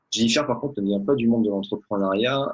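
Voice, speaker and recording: An ordinary speaking voice, moving at a fairly quick clip and varying its pitch in an ordinary way. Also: man. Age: 30s. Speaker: network marketer, former orthodontist. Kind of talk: interview.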